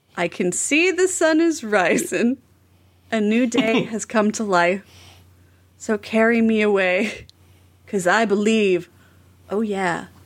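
The speech moves at a very slow pace, with lively intonation and long, frequent pauses. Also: woman, fairly high pitch for a woman. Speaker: returning podcast guest. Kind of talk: casual comedic chat.

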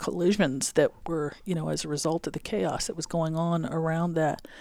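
A woman with an unremarkable speaking voice, fairly low in pitch, at a moderate pace with fairly even intonation, on a very clean recording with a silent background. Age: 50s. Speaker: engineering association president. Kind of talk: interview. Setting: conference room.

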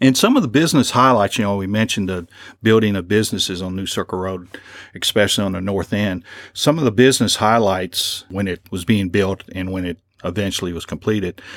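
In a Kentucky accent, a man speaks at a fairly quick pace, his fairly low voice showing ordinary pitch variation. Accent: Kentucky (US South). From Lexington, Kentucky. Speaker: librarian and local historian. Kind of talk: lecture.

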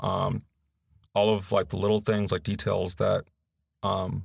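A man with an American accent speaks at a moderate pace in a fairly low pitch. His intonation is fairly even, and the recording is very clean with a silent background. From US West Coast, Los Angeles (San Gabriel Valley). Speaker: librarian, former Marine. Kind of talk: interview. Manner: direct.

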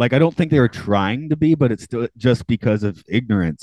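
With an American accent, a man of medium pitch speaks at a fairly quick pace in a dark, mellow tone with lively intonation and a dry, close sound with no echo. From Atlanta, US South. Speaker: podcast host. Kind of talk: casual chat, podcast interview. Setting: remote recording, microphone.

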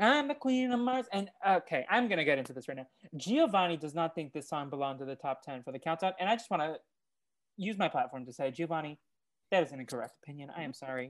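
Talking at a very fast pace with an American accent, a man with a fairly high pitch shows very wide pitch swings and big swings in loudness. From Oklahoma. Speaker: podcast host. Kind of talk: casual chat. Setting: remote call recording.

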